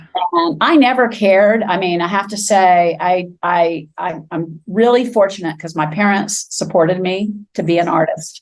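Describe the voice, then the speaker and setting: A woman with an American accent speaks at a moderate pace, with hardly any pauses. Her pitch is medium, with ordinary pitch variation. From Florida. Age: 60s. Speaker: sculptor. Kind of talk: interview. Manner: halting.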